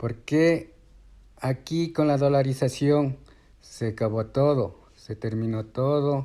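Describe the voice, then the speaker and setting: A man's very slow, dark, mellow voice, fairly high in pitch, with ordinary pitch variation. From Ecuador. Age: 60s. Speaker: retiree interviewee. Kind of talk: interview. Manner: halting.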